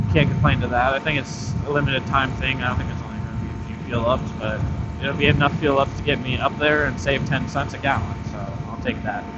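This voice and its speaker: The speech comes very fast with fairly even intonation, amid audible room echo and noticeable background noise. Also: man, medium pitch for a man. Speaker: motorcycle vlogger. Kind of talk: casual vlog narration while riding. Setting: on a motorcycle on the highway. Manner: loud, near yelling over wind.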